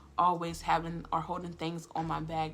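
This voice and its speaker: With audible room echo, a woman speaks in an American accent. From Florida. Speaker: lifestyle and healing vlogger. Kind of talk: personal reflective monologue. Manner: fast-talking; casual, filler-heavy.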